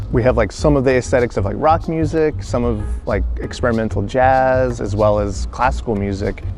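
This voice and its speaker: An American man at a moderate pace, with an American accent, music in the background. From North Carolina, USA. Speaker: musician, cellist. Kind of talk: interview answer. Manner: casual, hesitant with fillers.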